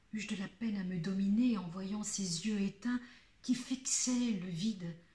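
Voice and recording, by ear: The pitch varies in an ordinary way as a speaker reads aloud in a natural voice.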